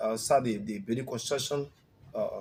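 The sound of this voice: At a moderate pace, a man talks with a slightly mellow tone, a slightly husky edge and ordinary pitch variation. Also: medium pitch for a man.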